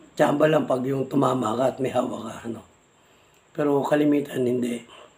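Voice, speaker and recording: Against noticeable background noise, a man speaks at a fairly quick pace and medium pitch in a monotone, flat intonation. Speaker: vlogger, amulet hunter. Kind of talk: casual vlog talk. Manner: halting.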